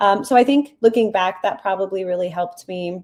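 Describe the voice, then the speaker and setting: An ordinary speaking voice from a woman with a Canadian accent, medium in pitch, with ordinary pitch variation and a fairly quick pace. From Canada, with time in Poland and South Korea. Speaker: app founder. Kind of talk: interview.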